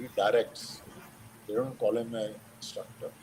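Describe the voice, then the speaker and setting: A man's voice against noticeable background noise. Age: 60s. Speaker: retired army general and polo player. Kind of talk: invited talk with Q&A.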